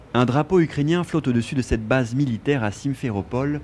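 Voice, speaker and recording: A man talks at a fairly quick pace with lively intonation. Music plays in the background. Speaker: news reporter. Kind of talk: TV news reporter voice-over and stand-up.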